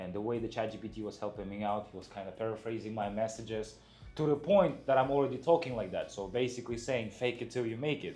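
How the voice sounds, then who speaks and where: A man with a non-native accent, medium pitch and a dark, mellow tone, very fast, with ordinary pitch variation. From outside the US. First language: not English. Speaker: truck dispatcher. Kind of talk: casual interview chat.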